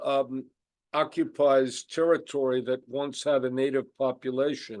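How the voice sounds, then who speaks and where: With a New York accent, a man speaks at a fairly slow pace. His pitch is fairly high and his intonation fairly even. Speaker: Holocaust scholar. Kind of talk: lecture.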